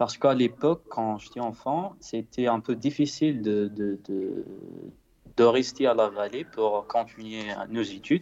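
A man with a medium pitch and ordinary pitch variation talks over a quiet background. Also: fairly slow pace. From Morocco, central High Atlas. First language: Berber (Tamazight) (speaking French). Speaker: singer-songwriter. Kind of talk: interview. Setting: Skype call. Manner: halting, many repetitions.

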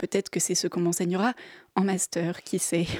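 The woman's pace is moderate. Her sound is close and dry, without any echo. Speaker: film columnist. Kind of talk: radio film review. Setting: studio.

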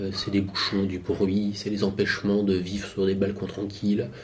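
Noticeable background noise runs through the clip. A man is the one speaking. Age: 40s. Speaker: cyclist moving house by bike. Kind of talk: casual interview.

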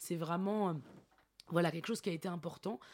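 A woman's fairly low voice with ordinary pitch variation, in a very clean recording with a silent background. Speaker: theatre director. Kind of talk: interview. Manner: hesitant, many fillers.

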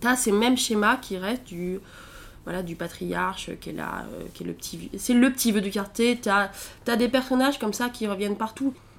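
Recorded very cleanly over a silent background, a woman with a fairly high pitch and vocal fry speaks at a moderate pace, with ordinary pitch variation and big swings in loudness. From rural central France (Allier). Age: 20s. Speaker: traveller. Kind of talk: interview testimony. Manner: casual, hesitant.

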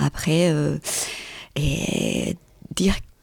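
Speaking with a Colombian accent, a woman has a dark, mellow tone, vocal fry and a fairly low pitch. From Colombia, Medellín. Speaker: artist and photographer. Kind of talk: interview.

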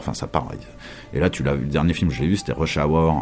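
Over background music, a man speaks in a very deep, low voice. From Paris, France. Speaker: radio host and DJ. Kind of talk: casual interview chat.

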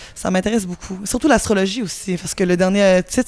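A woman's medium-pitched voice at a moderate pace, ordinary pitch variation, noticeable background noise behind it. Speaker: musician. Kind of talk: interview. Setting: music festival.

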